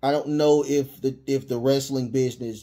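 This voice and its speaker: The setting is quiet. A man does the talking. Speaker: podcast host. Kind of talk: opinion commentary. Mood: indignant, earnest. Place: home room. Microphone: studio mic.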